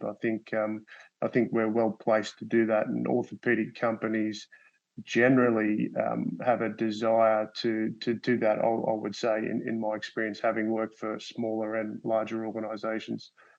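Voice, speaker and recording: In an Australian accent, a man speaks at a medium pitch with monotone, flat intonation. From Australia (Sydney). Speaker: medical device company executive. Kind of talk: panel discussion. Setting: webinar. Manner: halting, many fillers and repeats.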